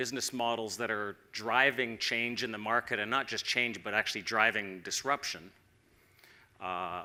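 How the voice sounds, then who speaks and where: With a Canadian accent, a man of medium pitch speaks at a moderate pace in a bright, sharp tone with fairly even intonation. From Canada. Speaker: tech company executive. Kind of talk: conference presentation.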